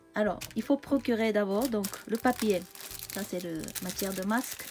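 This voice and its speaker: With music in the background, a woman with a Japanese accent speaks at a fairly slow pace and a fairly high pitch. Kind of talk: craft tutorial talk to camera. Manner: casual, hesitant.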